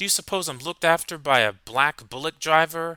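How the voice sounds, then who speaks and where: Using a put-on character voice, a man talks fairly quickly at a fairly high pitch. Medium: read story.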